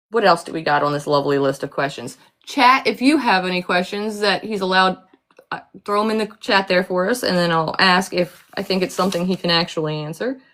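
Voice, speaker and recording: Speaking at a fairly quick pace with lively intonation, a woman with an American accent uses an ordinary speaking voice at medium pitch. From United States. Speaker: live chat host. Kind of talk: casual chat. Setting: livestream.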